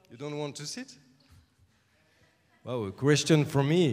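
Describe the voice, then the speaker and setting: A man talks at a moderate pace with a French accent. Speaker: music composer. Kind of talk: Q&A with audience. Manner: halting.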